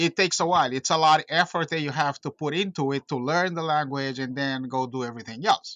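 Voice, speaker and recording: Against a quiet background with a dry, close sound and no echo, a man with a fairly high pitch and a bright, sharp tone talks at a very fast pace with hardly any pauses and ordinary pitch variation. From Cape Verde or Portugal. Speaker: real estate investor, house flipper. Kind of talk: interview. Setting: call.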